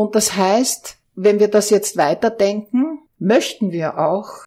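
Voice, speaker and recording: Woman speaking at a very slow pace with ordinary pitch variation. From Austria. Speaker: organizational consultant. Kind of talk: interview.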